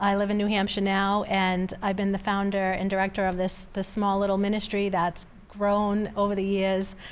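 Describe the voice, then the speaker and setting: A Boston accent at a moderate pace with hardly any pauses, monotone, flat intonation and very even loudness, with audible room echo. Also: woman, medium pitch for a woman. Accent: Boston North Shore. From Massachusetts North Shore (Revere, Saugus). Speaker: trafficking survivor and ministry founder. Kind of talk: interview testimony.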